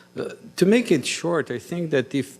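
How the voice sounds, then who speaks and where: This is a man with a Brazilian Portuguese accent. The recording is very clean, with a silent background. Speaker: cardiologist. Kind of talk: conference talk.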